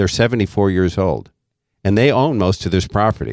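A man speaks at a moderate pace in an ordinary speaking voice, fairly low in pitch. The sound is dry and close with no echo. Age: 60s. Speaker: financial advisor and author. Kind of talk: casual chat. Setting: studio.

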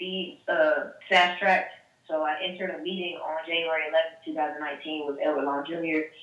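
A woman's fairly low voice, an unremarkable speaking voice, with fairly even intonation and big swings in loudness. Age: 20s. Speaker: radio host and promotions staffer. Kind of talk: interview.

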